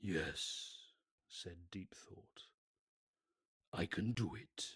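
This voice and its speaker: A man puts on a booming character voice and speaks at a very slow pace. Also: fairly low pitch for a man. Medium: read story. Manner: slow, deliberate, with weighty pauses.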